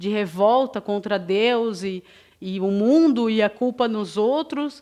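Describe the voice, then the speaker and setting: Lively intonation runs through an unremarkable speaking voice. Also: woman, quiet background. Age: 30s. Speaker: spiritist lecturer. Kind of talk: lecture.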